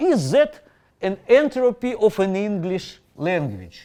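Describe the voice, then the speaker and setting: A man with a non-native accent and a dark, mellow tone makes very wide pitch swings against a quiet background. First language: not English. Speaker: professor. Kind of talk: lecture. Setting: lecture hall with Zoom audience. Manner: halting.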